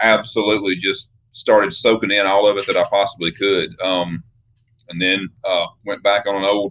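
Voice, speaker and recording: A man speaking in a Southern US accent keeps to a moderate pace. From US South (Mississippi, Alabama). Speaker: custom knife maker. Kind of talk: interview. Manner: casual, hesitant with fillers.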